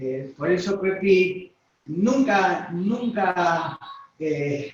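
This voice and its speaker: This man's voice is high in pitch. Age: 60s. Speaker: pastor. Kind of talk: interview testimony.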